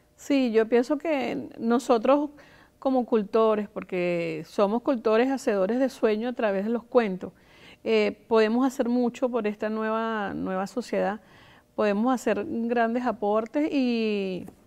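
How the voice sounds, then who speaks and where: Against a quiet background, a woman with a dark, mellow tone and fairly high pitch speaks at a fairly slow pace with ordinary pitch variation. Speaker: storyteller, cultural promoter and early-education teacher. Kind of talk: interview answer.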